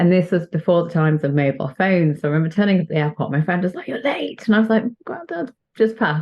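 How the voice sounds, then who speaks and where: Talking at a very fast pace, a woman with a British accent uses a fairly low pitch and ordinary pitch variation. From northern England, Chester. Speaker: doctor, children's author and spiritual coach. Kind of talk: podcast interview.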